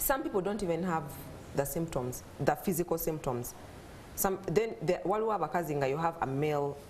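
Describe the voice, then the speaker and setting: Noticeable background noise surrounds a woman with a fairly low pitch. Her intonation is lively and her pace fairly quick. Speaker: mother sharing infertility story. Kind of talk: talk show interview.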